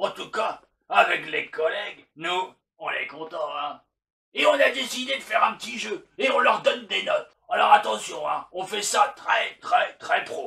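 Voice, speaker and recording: A man's cartoonish character voice, high in pitch, at a moderate pace. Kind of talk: comedic puppet monologue to a therapist. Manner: crude, boastful.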